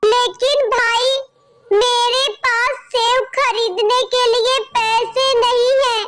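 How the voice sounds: A cartoonish character voice speaks with an extremely high pitch at a very slow pace. Its intonation is monotone and flat.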